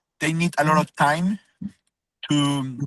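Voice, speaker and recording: With a Spanish accent, a man speaks fairly slowly in a fairly high voice with fairly even intonation. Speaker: car wash owner pitching for investment. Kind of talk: business video call interview. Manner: halting, many fillers.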